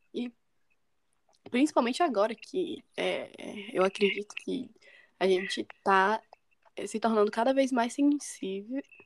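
A woman with a fairly high pitch speaks slowly, with lively intonation and long, frequent pauses. The sound is dry and close with no echo. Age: young. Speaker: podcast host. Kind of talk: podcast interview.

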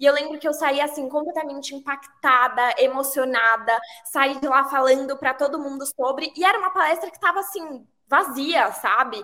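In a raised, projected voice with a bright, sharp tone, a woman speaks at a moderate pace in a high pitch with ordinary pitch variation. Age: 20s. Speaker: advertising professional. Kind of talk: casual chat.

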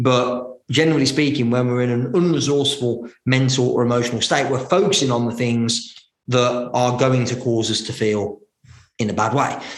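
Audible room echo colors the recording. The delivery is at a moderate speed, with intonation that stays fairly even. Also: man, medium pitch for a man. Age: 30s. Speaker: business coach and entrepreneur. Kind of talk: interview. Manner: hesitant with frequent fillers.

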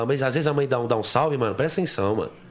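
A man speaks against noticeable background noise. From São Paulo, East Zone. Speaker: pagode singer. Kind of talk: casual chat.

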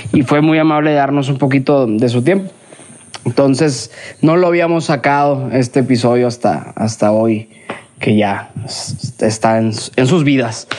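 Very even loudness at a fairly slow pace, with noticeable background noise. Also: man, medium pitch for a man, ordinary pitch variation. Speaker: podcast host. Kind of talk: casual chat. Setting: outdoors in the countryside.

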